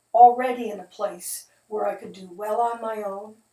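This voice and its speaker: Speaking with an Upper Midwest accent at a moderate pace, a woman uses a fairly high pitch. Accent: Upper Midwest American. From US Midwest, Detroit, Michigan. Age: 70s. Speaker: video narrator, widow of the preacher. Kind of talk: casual spoken introduction to a video. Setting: at home, seated at a table.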